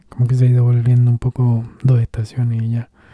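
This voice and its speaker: This man's medium-pitched voice is somewhat breathy with a dark, mellow tone, recorded with a dry, close sound and no echo. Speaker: podcast host reading own blog texts. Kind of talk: casual monologue.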